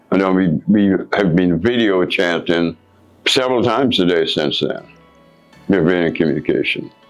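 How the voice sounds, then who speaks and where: Over music in the background, the speaker talks at a moderate pace with ordinary pitch variation, very even loudness, and long, frequent pauses. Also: man, very deep, low pitch for a man. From Guyana. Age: 70s. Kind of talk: interview answer.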